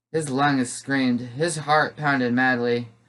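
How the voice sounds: A natural reading voice is heard. The intonation stays fairly level throughout.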